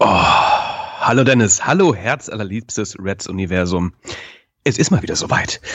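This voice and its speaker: In a normal speaking voice, a man talks fairly slowly at a fairly low pitch with lively intonation. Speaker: podcast co-host. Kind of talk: casual chat. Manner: jokey, relaxed, chatty.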